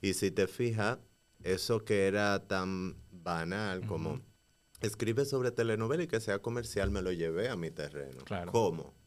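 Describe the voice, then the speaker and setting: On a very clean recording with a silent background, a man speaks in a normal speaking voice at a fairly low pitch with lively intonation and a moderate pace. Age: 30s. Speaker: playwright, actor and dancer. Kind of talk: casual interview.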